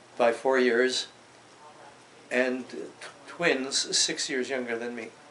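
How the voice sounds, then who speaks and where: A man speaks at a very slow pace with a Canadian accent. Noticeable background noise runs behind him. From Canada, Toronto. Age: 80s+. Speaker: WWII-era elder recounting his life. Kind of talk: oral history interview. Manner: halting, with frequent hesitations.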